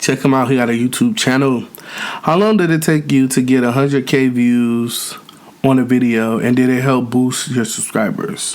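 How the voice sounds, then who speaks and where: A man's speech, moderate in pace with ordinary pitch variation, comes through noticeable background noise. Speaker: YouTuber, mukbang creator. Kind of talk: casual chat while eating, Q&A. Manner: loud.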